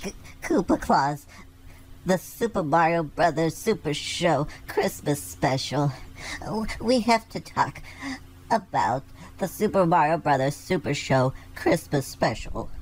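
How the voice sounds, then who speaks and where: A cartoonish character voice at a middle pitch moves at a fairly slow pace with long, frequent pauses over clear background noise. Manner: eager, sweet.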